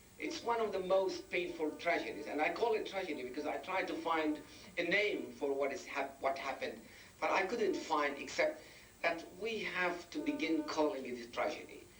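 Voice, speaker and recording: Music plays behind a man speaking at a moderate pace, with audible room echo. His pitch is high and his intonation lively. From Palestine / Israel. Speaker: public speaker on Palestinian affairs. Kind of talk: lecture. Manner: halting.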